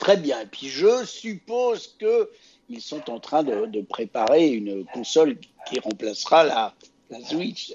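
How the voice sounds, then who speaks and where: A man speaks at a very slow pace in a fairly high pitch. His pitch swings very widely and his loudness varies greatly. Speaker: podcast host. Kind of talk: casual chat.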